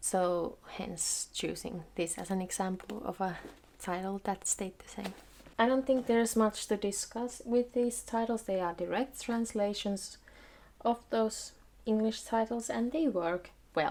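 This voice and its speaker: In a Finnish accent, the speaker talks at a fairly slow pace with ordinary pitch variation. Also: woman, fairly high pitch for a woman. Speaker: video blogger. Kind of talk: tutorial.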